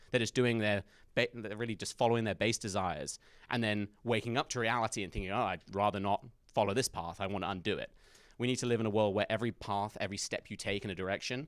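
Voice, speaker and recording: In an English accent, a man speaks at a very fast pace with fairly even intonation and a fairly low pitch. The sound is dry and close, with no echo. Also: very clean recording, silent background. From England. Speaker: conservative commentator. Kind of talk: campus talk Q&A. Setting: university event with audience.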